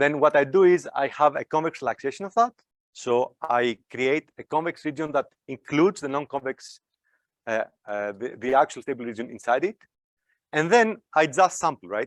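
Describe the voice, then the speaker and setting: Over a quiet background, a man with a fairly high pitch speaks in a dry, close sound with no echo. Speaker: academic researcher giving invited talk. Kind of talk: lecture. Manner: fast.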